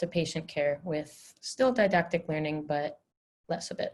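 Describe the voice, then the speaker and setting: With a Canadian accent, a woman talks at a moderate pace in a somewhat breathy voice with ordinary pitch variation over a quiet background. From Canada, Vancouver. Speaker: dental student. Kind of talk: webinar presentation.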